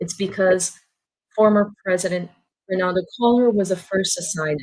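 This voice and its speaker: A woman speaks in an unremarkable speaking voice at a medium pitch and a moderate pace. Her intonation is fairly even, though her loudness swings widely. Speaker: journalist. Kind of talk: webinar presentation.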